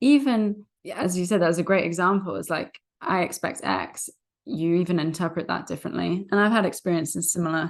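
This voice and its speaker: Speaking at a fairly quick pace with a British accent, a woman uses a fairly low pitch and ordinary pitch variation against a quiet background. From Britain. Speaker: podcast host and recruiter. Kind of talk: podcast interview.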